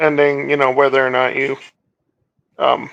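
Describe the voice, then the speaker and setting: Using a put-on character voice, a man delivers his lines at a moderate speed. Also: medium pitch for a man. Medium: actual play. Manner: casual, plain-spoken.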